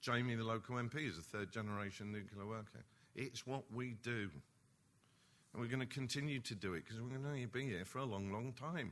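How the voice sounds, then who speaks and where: Speaking with an East End London accent, a man of medium pitch moves at a fairly quick pace with ordinary pitch variation. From East London. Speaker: nuclear industry executive. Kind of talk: conference speech. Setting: conference hall with audience. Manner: animated.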